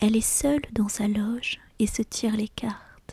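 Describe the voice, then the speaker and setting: A soft-spoken whisper proceeds at a very slow pace. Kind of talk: whispered audiobook reading of a short story (ASMR). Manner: whispered, soft, calm.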